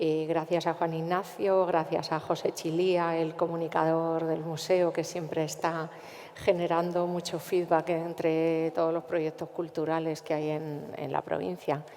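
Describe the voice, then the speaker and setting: In a Castilian accent, a woman speaks at a fairly slow pace and fairly low pitch with monotone, flat intonation. She hardly pauses, and there is noticeable background noise. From central Spain, Cuenca. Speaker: cultural manager. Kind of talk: panel discussion.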